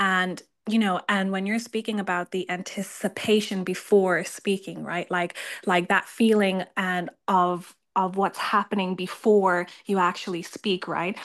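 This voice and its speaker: Against a quiet background, this speaker talks with an Irish accent in a flat, monotone delivery. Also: woman, medium pitch for a woman, fairly slow pace. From Ireland. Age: 20s. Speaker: audience member who stutters. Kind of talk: testimony.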